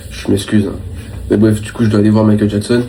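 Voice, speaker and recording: A man's voice with audible room echo. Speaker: vlogger. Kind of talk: casual vlog talk to camera. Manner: low energy, hesitant with many fillers.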